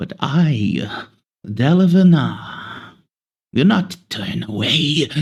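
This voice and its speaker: A man puts on a character voice, fairly high in pitch. He speaks at a very slow pace with very wide pitch swings. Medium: actual play. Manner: slow, bargaining.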